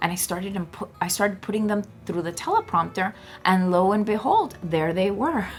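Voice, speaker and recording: With an American accent and ordinary pitch variation, a woman talks over noticeable background noise. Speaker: motivational speaker. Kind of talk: motivational talk to camera.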